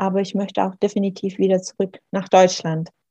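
Somewhat breathy, this dark, mellow voice holds a monotone, flat intonation in a dry, close sound with no echo. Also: woman. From Swabian Jura, southern Germany. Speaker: author. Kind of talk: interview.

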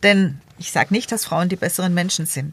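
Here a woman speaks with fairly low pitch. Her voice is somewhat breathy. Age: 50s. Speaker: local politician, equal opportunities officer. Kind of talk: debate interview.

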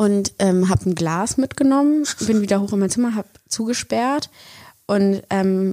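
On a very clean recording with a silent background and a dry, close sound with no echo, a woman speaks at a moderate pace with a medium pitch, ordinary pitch variation and a dark, mellow tone. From Germany, Bonn. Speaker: podcast co-host, actress. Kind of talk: casual chat.

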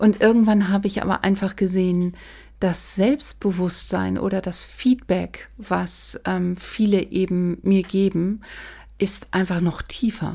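A woman at a very slow pace, somewhat breathy, with a dark, mellow tone and fairly even intonation, on a very clean recording with a silent background. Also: medium pitch for a woman. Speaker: make-up artist. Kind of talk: casual chat.

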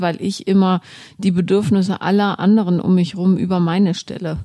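This woman has a dark, mellow tone at a medium pitch, and her intonation stays fairly even. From Germany, grew up Bonn and Berlin. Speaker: author and journalist. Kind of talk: casual chat.

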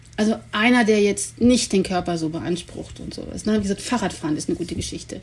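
The voice is somewhat breathy and moves at a very fast pace. Its pitch varies in an ordinary way. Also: woman. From Germany, Cologne. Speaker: sled dog musher and expedition guide. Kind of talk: interview.

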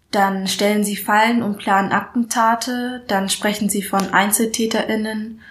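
A woman talks fairly slowly in a somewhat breathy voice with flat, monotone intonation. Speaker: spoken word artist and student. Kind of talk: spoken word poem, performed aloud. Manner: deliberate, rhythmic, emphatic delivery.

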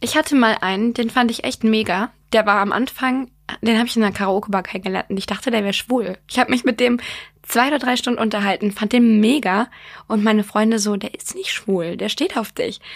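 Here is a woman with an unremarkable speaking voice and a fairly high pitch. She talks at a fairly quick pace with ordinary pitch variation. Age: 20s. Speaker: podcast co-host. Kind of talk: casual chat.

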